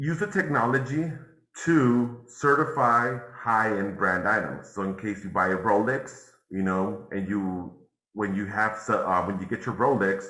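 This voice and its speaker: A man with a fairly low, bright and sharp voice speaks at a fairly slow pace with ordinary pitch variation. There is audible room echo. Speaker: NFT and crypto instructor. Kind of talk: live workshop tutorial.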